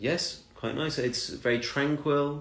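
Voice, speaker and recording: A man speaks at a fairly slow pace with a British accent. Audible room echo surrounds his voice. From UK. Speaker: English teacher. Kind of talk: casual chat.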